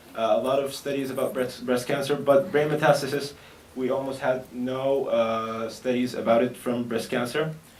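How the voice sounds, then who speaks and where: A man at a medium pitch talks at a moderate pace with fairly even intonation, with noticeable background noise and audible room echo. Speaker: medical researcher. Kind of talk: conference presentation. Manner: hesitant, many fillers.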